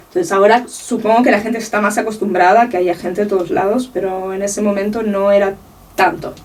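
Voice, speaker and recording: Words come from a woman at a very fast pace. Her intonation is fairly even throughout. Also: medium pitch for a woman. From Uruguay (Montevideo), moved to Catalonia as a teen. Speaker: art researcher and curator. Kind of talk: interview.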